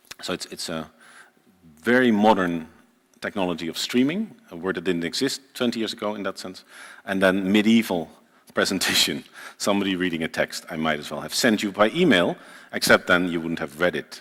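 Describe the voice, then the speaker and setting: Very deep, low-pitched man's voice with a Dutch accent, fairly quick pace, ordinary pitch variation, big swings in loudness, very clean recording with a silent background. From Netherlands. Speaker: journalist and writer. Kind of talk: lecture read from a script. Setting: lecture hall with small audience, live-streamed.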